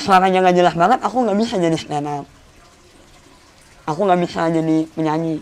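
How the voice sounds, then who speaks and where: The pace is fairly quick. Long, frequent pauses break up the speech. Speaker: stand-up comedian and singer. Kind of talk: podcast interview.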